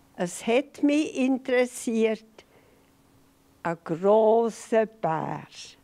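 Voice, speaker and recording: A woman's dark, mellow tone at a fairly high pitch, with lively intonation, a very slow pace and long, frequent pauses. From Switzerland. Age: 80s+. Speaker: interview guest, grandmother. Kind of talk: interview answer, reminiscing. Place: studio. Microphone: handheld.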